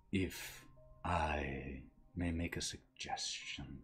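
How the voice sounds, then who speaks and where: A man does a put-on character voice with a very deep, low pitch. He talks at a very slow pace with fairly even intonation. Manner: polite, subtly leading astray.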